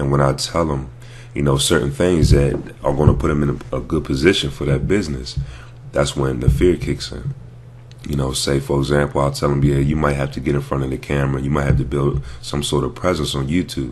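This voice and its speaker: Monotone, flat intonation amid audible room echo and noticeable background noise. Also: man, very deep, low pitch for a man. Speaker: network marketer and vlogger. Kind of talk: motivational vlog talk. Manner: casual, hesitant with fillers.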